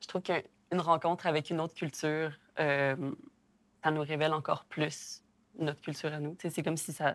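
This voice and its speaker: The delivery is fairly quick but broken by long, frequent pauses, with monotone, flat intonation on a very clean recording against a silent background. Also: woman, very deep, low pitch for a woman. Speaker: interview participant. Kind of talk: casual discussion.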